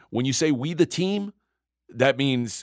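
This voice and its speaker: Speaking at a moderate pace with lively intonation and medium pitch, a man comes through on a very clean recording with a silent background and a dry, close sound with no echo. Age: 40s. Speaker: sports betting podcast co-host. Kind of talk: casual chat.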